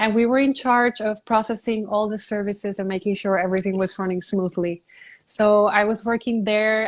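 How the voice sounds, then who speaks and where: A woman talks at a fairly quick pace in a Spanish accent, her pitch fairly high and her intonation monotone and flat. The recording is very clean, with a silent background. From Puerto Rico. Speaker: beauty pageant contestant. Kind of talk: interview.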